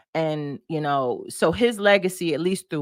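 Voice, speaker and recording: A woman with an American accent and a very deep, low pitch, with ordinary pitch variation at a moderate pace, in a dry, close sound with no echo on a very clean recording over a silent background. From Detroit, US Midwest. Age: 40s. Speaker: broadcaster and storyteller. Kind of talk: interview conversation. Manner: halting, with many repetitions.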